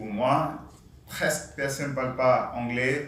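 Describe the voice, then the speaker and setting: At a very slow pace and fairly high pitch, a man speaks over noticeable background noise with audible room echo. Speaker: panelist, Indian engineer working in France. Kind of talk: panel discussion talk. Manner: hesitant non-native French.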